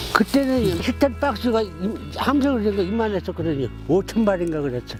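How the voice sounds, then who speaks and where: A man's fairly quick speech comes over music playing in the background. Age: 80s+. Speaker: Korean War veteran. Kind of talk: interview answer.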